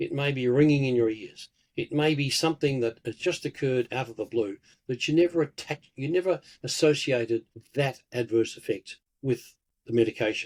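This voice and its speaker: A man's fairly high, fairly quick voice in an Australian accent, with ordinary pitch variation and dry, close sound with no echo. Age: 70s. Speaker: pharmacist and herbalist. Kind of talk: interview.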